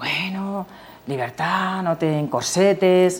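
Fairly even intonation marks this woman's speech. She talks at a very slow pace. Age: 50s. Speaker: energy company executive. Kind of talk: interview. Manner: halting.

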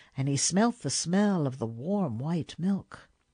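A woman is speaking. Her tone is animated. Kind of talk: scripted narration reading aloud of Kipling's story. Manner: animated storyteller, distinct character voices; measured, warm, unhurried.

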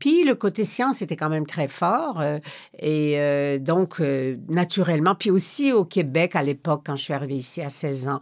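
A woman's very deep, low-pitched voice with ordinary pitch variation. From Poland, then Quebec. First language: Polish (speaking French). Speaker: retired foreign correspondent. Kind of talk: interview. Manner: hesitant, with repetitions.

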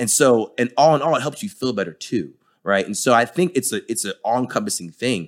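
With an American accent and an ordinary speaking voice, a man talks at a fairly quick pace and medium pitch, his intonation lively, in a very clean recording with a silent background. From New Jersey, US. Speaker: pain and sports physician. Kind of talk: podcast interview.

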